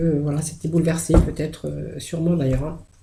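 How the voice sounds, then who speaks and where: A woman with a fairly low pitch talks at a fairly quick pace with fairly even intonation. Audible room echo and noticeable background noise surround her voice. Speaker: tarot card reader. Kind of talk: tarot reading video. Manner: halting, many hesitations.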